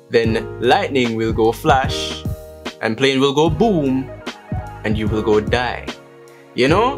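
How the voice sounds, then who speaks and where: A man at a fairly slow pace, with clear music in the background. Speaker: vlogger. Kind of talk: casual vlog chat.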